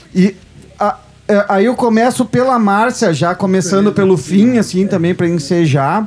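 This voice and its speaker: Over noticeable background noise, a man speaks in a high voice at a moderate pace. His pitch varies an ordinary amount and his loudness stays very even. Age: 40s. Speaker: radio show host. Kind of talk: casual chat. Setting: studio.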